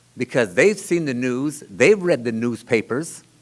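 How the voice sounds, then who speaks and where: Speaking at a moderate pace, a man moves his pitch through very wide swings. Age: 60s. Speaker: city councilmember. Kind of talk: public meeting remarks. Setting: town-hall meeting. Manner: halting.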